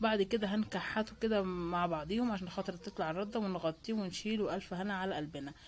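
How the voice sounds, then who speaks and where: A woman speaks at a medium pitch with a somewhat breathy voice, recorded very cleanly against a silent background. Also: ordinary pitch variation, moderate pace, hardly any pauses. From Egypt, Cairo. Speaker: lifestyle vlogger. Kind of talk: casual vlog narration. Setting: outdoors in the street by a bread oven. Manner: chatty, with many fillers.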